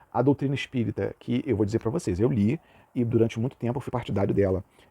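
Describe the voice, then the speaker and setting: Recorded dry and close with no echo, a man's voice sounds dark, mellow and somewhat breathy. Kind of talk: lecture. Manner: casual, uses filler words.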